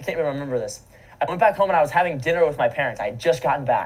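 This man speaks with an American accent. His pitch swings very widely. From US South, Florida. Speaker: commercial real estate investor. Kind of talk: casual chat.

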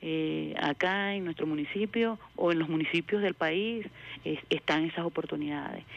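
A woman with a plain, everyday voice speaks at a moderate pace, her fairly low pitch showing ordinary variation. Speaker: agricultural engineer. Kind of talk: radio interview.

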